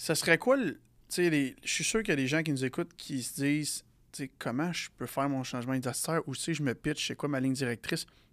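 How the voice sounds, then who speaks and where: On a very clean recording with a silent background, a man uses a normal speaking voice at a fairly high pitch, with ordinary pitch variation and a fairly quick pace. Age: 20s. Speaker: podcast co-host. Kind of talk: casual interview.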